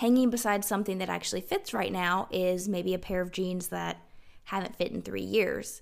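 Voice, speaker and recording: Speaking in a Southern US accent, a woman keeps to a moderate pace. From South Carolina. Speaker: podcast host and capsule wardrobe expert. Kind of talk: interview.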